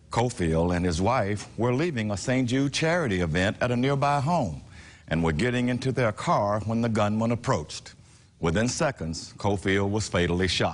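A man with a fairly low pitch, a serious tone, lively intonation, very even loudness and a moderate pace. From US South, Memphis Tennessee. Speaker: political analyst and commentator. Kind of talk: scripted news commentary read to camera, an editorial-style point of view. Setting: TV news studio segment. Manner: formal, measured, serious and grave in tone. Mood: serious, somber. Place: studio.

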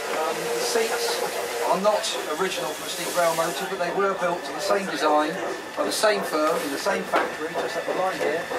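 Loud background noise fills the recording. Over it, a man talks at a fairly quick pace. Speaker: heritage railway guide. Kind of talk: safety and history briefing. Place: train. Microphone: camera far.

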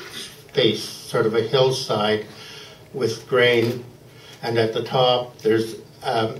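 Heard with audible room echo and light background noise, a man talks at a very slow pace. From Canada. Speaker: poet. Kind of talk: casual introduction to a poem before a live audience. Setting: live reading event, microphone. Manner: hesitant, conversational. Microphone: handheld.

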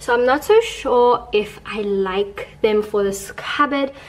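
Light background noise sits behind a woman speaking with fairly even intonation. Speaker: home decor vlogger. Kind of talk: tutorial. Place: home room.

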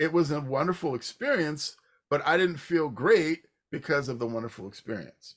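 A man talks with lively intonation at a moderate pace, the background quiet. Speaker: podcast host. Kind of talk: conversational interview, sharing personal story. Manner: halting, with fillers and restarts. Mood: warm, reflective. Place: home room.

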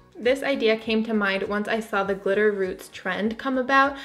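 Faint music plays in the background as the voice moves at a moderate pace with ordinary pitch variation. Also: woman. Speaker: beauty vlogger. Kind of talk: tutorial. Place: home room.

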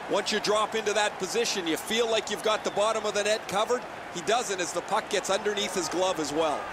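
A very fast, high-pitched man with fairly even intonation and very even loudness, over noticeable background noise. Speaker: color commentator. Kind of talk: live sports commentary. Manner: conversational, analytical, relaxed.

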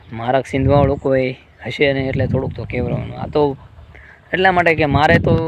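There is noticeable background noise as a man with a fairly high pitch speaks with fairly even intonation. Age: 20s. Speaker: vlogger. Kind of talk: personal vlog testimony.

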